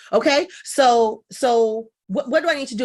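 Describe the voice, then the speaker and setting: A high-pitched woman's voice, animated and lively in intonation, on a very clean recording with a silent background. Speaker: business coach. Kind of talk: podcast interview. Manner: fast.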